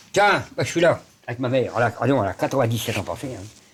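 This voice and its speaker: A man's medium-pitched, somewhat breathy voice at a very fast pace, with lively intonation. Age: 70s. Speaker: outsider artist, psychiatric hospital resident. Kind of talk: interview. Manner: halting.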